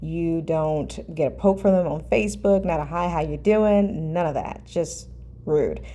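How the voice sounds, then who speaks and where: The speech moves at a fairly slow pace, with audible echo from the room. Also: woman. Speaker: lifestyle vlogger. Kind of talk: personal advice monologue.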